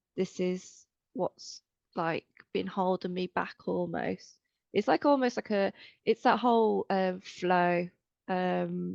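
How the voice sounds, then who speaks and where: A woman talks at a very slow pace with long, frequent pauses. The sound is dry and close, with no echo. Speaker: fibre artist with endometriosis. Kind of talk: interview. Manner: halting.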